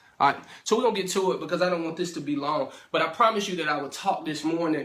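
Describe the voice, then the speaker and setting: A very fast man with a high pitch and an American accent, ordinary pitch variation, and audible room echo. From St. Louis area, Missouri (Ferguson). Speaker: motivational speaker / minister. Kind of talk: inspirational talk to camera. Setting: self-recorded video. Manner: casual, filler-heavy (um, uh).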